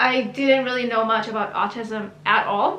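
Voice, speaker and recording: A woman's raised, projected voice at a fairly slow pace, with audible room echo. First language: Hebrew. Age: 30s. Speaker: YouTuber. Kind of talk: personal story monologue. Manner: casual, chatty.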